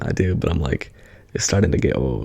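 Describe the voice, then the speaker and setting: Whispering, a man speaks softly in a relaxed tone. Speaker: ASMR creator. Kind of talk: casual ramble to camera. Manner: soft-spoken, whispery, relaxed.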